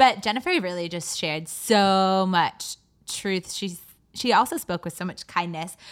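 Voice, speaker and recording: Against a silent background in a very clean recording, a woman talks in an animated tone at a moderate pace, with ordinary pitch variation and big swings in loudness. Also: medium pitch for a woman. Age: 20s. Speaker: faith podcast co-host. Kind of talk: casual chat.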